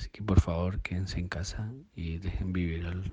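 A man with a very deep, low voice speaks at a moderate pace in a dark, mellow, somewhat breathy tone. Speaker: listener contributor. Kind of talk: recorded voice message.

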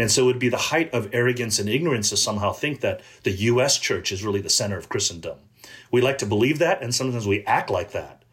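A man's very fast American-accented speech at medium pitch, with ordinary pitch variation. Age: 50s. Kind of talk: interview conversation.

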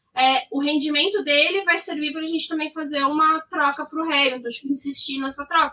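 Raising and projecting her voice, a woman speaks at a high pitch. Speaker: motorsport podcast co-host. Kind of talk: casual chat.

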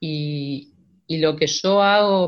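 This woman talks in a plain, everyday voice, her pitch varying in an ordinary way. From Argentina, Santa Rosa, La Pampa. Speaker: choir singer and vocal coach. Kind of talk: casual interview.

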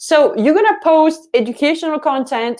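A woman is speaking. Her intonation is lively. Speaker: social media marketing coach. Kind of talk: livestream tutorial. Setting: live video stream. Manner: animated.

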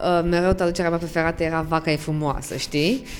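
Over music in the background, a woman speaks at a fairly quick pace in a fairly low voice with monotone, flat intonation. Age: 20s. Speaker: podcast host, lawyer. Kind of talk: podcast interview.

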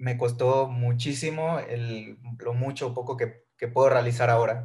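A man's voice comes across somewhat breathy at a medium pitch. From Mexico, Villahermosa, Tabasco. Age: 20s. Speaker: fitness coach. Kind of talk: podcast interview.

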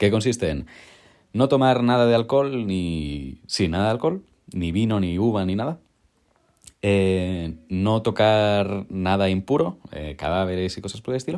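This man's voice sits at a fairly low pitch. He speaks at a fairly slow pace with lively intonation. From Catalonia, Spain (town near Barcelona). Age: 20s. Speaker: film student and Bible audiobook narrator. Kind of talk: casual interview.

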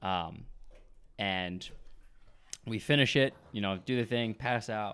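A man at a moderate pace with ordinary pitch variation, on a very clean recording with a silent background. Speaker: self-employed business owner. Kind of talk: casual chat.

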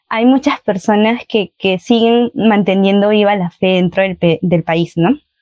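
Speaking at a fairly slow pace, a woman has a fairly high pitch, a dark, mellow tone and fairly even intonation, with a dry, close sound and no echo. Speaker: youth group coordinator. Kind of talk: casual chat.

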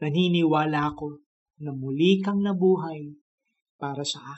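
This man's voice is fairly high, warm and gentle, and somewhat breathy. He talks at a fairly slow pace with flat, monotone intonation.

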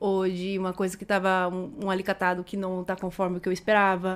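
The recording is very clean and the background silent. A woman talks at a medium pitch with monotone, flat intonation. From Brazil, Mato Grosso do Sul (interior town). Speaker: podcast guest, property rental agent. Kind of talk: casual interview. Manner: halting.

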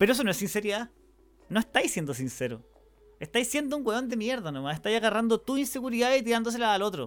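A man with a Chilean accent, high-pitched for a man, talking very fast with lively intonation. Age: 30s. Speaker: podcaster. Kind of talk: personal monologue. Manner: halting.

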